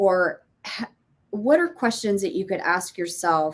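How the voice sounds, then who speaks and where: Here is a woman with a normal speaking voice at medium pitch. She talks at a fairly slow pace. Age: 50s. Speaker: parenting coach and former teacher. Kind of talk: casual interview chat.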